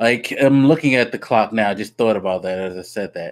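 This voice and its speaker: A man with lively intonation at a moderate pace. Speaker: podcast host. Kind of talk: casual podcast chat. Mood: amused, ranting. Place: home room. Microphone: studio mic.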